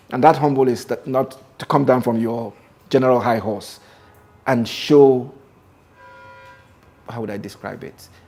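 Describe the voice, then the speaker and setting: Against music in the background, a man speaks with fairly even intonation, big swings in loudness, and long, frequent pauses. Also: medium pitch for a man, moderate pace. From Nigeria, Imo State. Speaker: film producer and director. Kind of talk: interview.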